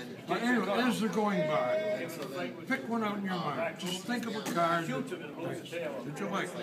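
Loud background noise accompanies a man speaking at a fairly slow pace. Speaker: magician. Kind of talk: magic trick patter to volunteer. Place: hall.

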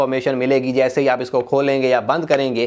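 A man talks. Nothing else can be heard behind him. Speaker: tech reviewer. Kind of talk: product review. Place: studio. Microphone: lapel.

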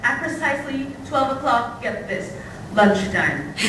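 Raising and projecting her voice at a high pitch, a woman speaks at a fairly slow pace amid audible room echo and noticeable background noise. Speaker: university student poet. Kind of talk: spoken word poem performed live. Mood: warm, playful, affectionate. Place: hall. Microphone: camera far.

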